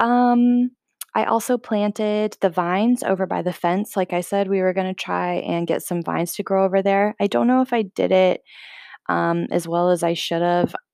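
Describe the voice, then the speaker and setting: At a moderate pace, a woman speaks in a normal speaking voice, medium in pitch, with ordinary pitch variation. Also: dry, close sound with no echo. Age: 30s. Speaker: podcast host. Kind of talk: casual solo monologue.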